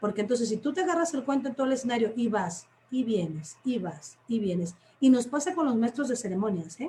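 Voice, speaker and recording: This woman speaks in a high voice with an animated tone and very wide pitch swings. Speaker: teacher and storyteller. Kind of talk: workshop talk in a live stream. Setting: online live stream.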